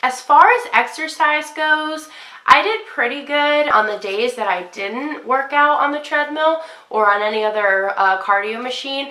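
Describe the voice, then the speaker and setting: Projecting her voice, a woman speaks high and bright with a sharp tone and lively intonation. Her pace is fairly slow, and audible echo fills the room. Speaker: fitness vlogger. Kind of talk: casual vlog.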